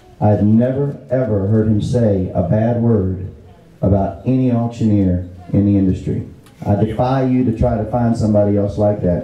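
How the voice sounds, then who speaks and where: Fairly even intonation at a moderate pace, with very even loudness, an American accent, and noticeable background noise. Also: man, fairly low pitch for a man. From Fredericksburg, Virginia, USA. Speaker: auctioneer giving a tribute speech. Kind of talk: heartfelt tribute speech to a live audience.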